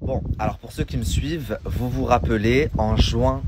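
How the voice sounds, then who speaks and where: The sound is dry with no echo, though background noise is noticeable. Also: man. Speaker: social media blogger. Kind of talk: social media rant. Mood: annoyed, ranting. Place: street. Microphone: phone near.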